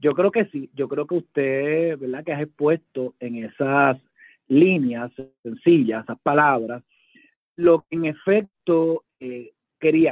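Very slowly, a man with a fairly high voice speaks with ordinary pitch variation and big swings in loudness. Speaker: judge and author. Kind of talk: radio interview.

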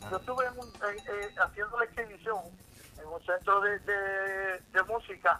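Raising and projecting his voice, a man with a bright, sharp tone speaks at a moderate pace with ordinary pitch variation in a dry, close sound with no echo. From New York. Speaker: musician. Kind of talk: casual interview.

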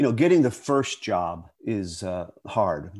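A man with an American accent, an ordinary speaking voice, medium pitch and lively intonation. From western Pennsylvania. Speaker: actor. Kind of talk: interview conversation.

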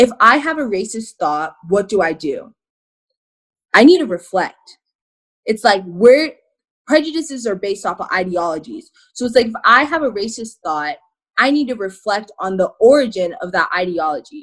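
Pausing long and often, a woman with an American accent talks at a moderate pace, her fairly high voice making very wide pitch swings. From Arizona. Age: 20s. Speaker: activist and content creator. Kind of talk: casual interview.

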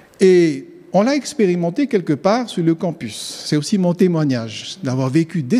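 A man speaks at a fairly slow pace with a high pitch and very wide swings in pitch. Noticeable background noise sits behind him. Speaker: theology student. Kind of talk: sermon.

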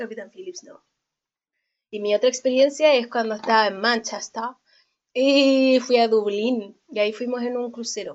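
Ordinary pitch variation and big swings in loudness at a fairly slow pace, with long, frequent pauses. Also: woman, high pitch for a woman. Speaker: podcast co-host. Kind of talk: casual chat.

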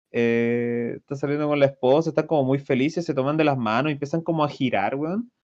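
A man with a fairly high pitch and a Chilean accent, very fast pace, ordinary pitch variation, quiet background. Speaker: podcast co-host. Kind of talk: casual chat.

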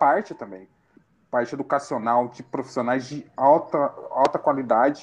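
Fairly slow speech from a man, set against a quiet background. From Brazil, southern Minas Gerais (Itajubá). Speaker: local council pre-candidate. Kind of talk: interview. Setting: live-streamed podcast.

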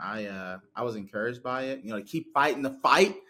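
Heard in a very clean recording with a silent background, a man speaks with a Southern US accent. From Chattanooga, Tennessee (US South). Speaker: pastor. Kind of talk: casual chat. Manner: loud.

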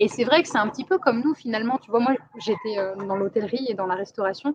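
The sound is dry and close, with no echo. A woman speaks at a fairly high pitch with ordinary pitch variation. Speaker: expat living in a rural community. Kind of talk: casual interview.

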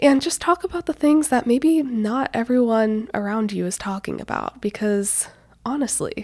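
Lively, high-pitched speech from a woman, delivered at a middling speed. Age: 20s. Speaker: podcast host, college senior. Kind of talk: solo casual monologue. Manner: animated.

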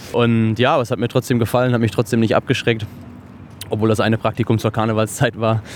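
Speaking at a very fast pace, a man keeps a monotone, flat intonation. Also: medium pitch for a man, very even loudness. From western Germany, near Cologne. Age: 30s. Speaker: chef. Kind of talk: interview. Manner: hesitant with filler words and repetitions.

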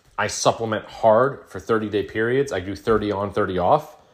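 Fairly low-pitched man at a fairly quick pace, on a very clean recording with a silent background. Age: 40s. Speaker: podcast host. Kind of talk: casual monologue. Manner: animated.

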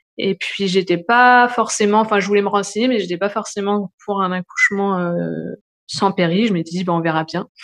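Her intonation fairly even, a woman speaks at a moderate pace and medium pitch. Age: 30s. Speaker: new mother telling her birth story. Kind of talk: personal testimony. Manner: hesitant, many fillers.

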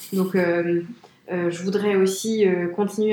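A woman talks at a fairly quick pace with medium pitch. Noticeable background noise runs underneath. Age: 30s. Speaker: business executive at a trend forecasting firm. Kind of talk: interview.

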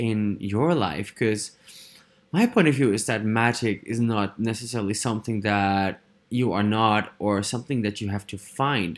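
Speaking in a Dutch accent, a man has a medium pitch, ordinary pitch variation and an animated tone. He goes at a fairly slow pace on a very clean recording with a silent background. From Netherlands. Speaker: podcast host, personal development facilitator. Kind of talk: solo monologue podcast. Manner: animated, frequent fillers and laughs.

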